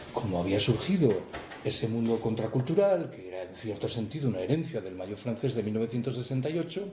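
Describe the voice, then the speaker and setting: Audible room echo surrounds a man speaking at a medium pitch. He talks at a fairly quick pace with very wide pitch swings. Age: 60s. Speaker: author. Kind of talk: book talk Q&A. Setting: public talk with audience.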